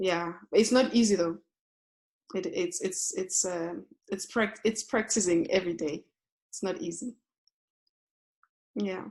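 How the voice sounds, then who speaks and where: Using long, frequent pauses, a woman with a Zulu accent talks at a fairly slow pace and a medium pitch with ordinary pitch variation. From South Africa, township. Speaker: yoga teacher. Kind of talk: interview. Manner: halting.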